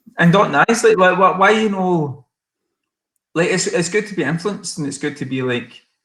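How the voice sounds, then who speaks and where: A man with a Scottish accent has a high pitch, a bright, sharp tone and ordinary pitch variation. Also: moderate pace. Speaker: singer-songwriter. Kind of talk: casual chat. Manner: animated.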